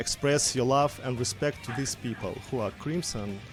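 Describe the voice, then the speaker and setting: Music plays in the background as a man with a Russian accent speaks at a fairly high pitch with ordinary pitch variation. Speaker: streamer. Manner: hesitant, many filler words.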